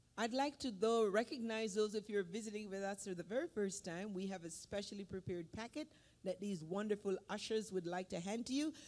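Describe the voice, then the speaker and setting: Hardly pausing at all, the talker keeps up a fairly quick pace. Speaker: church service leader. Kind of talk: church service announcements and prayer. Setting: church.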